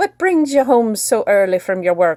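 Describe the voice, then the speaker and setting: A woman's put-on character voice, fairly high in pitch, with very wide pitch swings at a moderate pace. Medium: read story. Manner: warm, coaxing.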